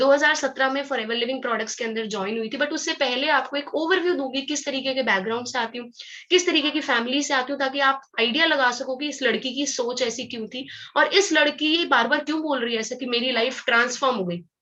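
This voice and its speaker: At a moderate pace with hardly any pauses, a raised, projected voice carries ordinary pitch variation over a quiet background. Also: woman, high pitch for a woman. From Haryana, India (Panipat). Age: 20s. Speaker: network marketing distributor. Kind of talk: motivational talk.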